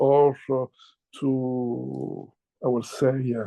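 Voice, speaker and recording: Speaking in an Italian accent, a man has a dark, mellow tone. The sound is dry and close with no echo, over a quiet background. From Italy. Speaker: chairman of a publishing house. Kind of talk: interview.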